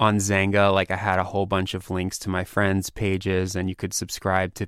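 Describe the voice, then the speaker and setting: Over a silent background in a very clean recording, a man with a very deep, low pitch speaks at a moderate pace in a monotone, flat intonation. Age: 30s. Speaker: magazine editor. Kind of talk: interview. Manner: casual, filler-heavy.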